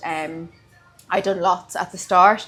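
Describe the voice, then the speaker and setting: Music plays in the background as a woman with an Irish accent speaks at medium pitch with fairly even intonation. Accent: Irish (Louth). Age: 20s. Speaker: beauty therapist and studio owner. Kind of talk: interview.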